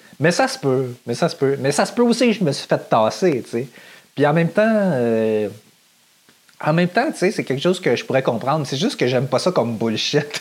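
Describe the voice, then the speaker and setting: Speaking with a Quebec accent, a man has a fairly high, animated voice at a moderate pace. His pitch swings very widely. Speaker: podcaster. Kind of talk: casual monologue.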